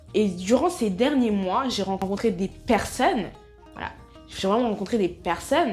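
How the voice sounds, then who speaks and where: Over music in the background, a woman with a medium pitch speaks at a fairly slow pace with lively intonation. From Soninké, Mauritanian family. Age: 20s. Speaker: natural wellness vlogger. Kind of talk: casual talk to camera.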